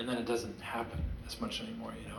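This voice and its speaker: A man's voice with very wide pitch swings, noticeable background noise and audible room echo. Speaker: singer-songwriter performing a concert. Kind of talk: stage talk between songs at a concert. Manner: halting, with repeated syllables.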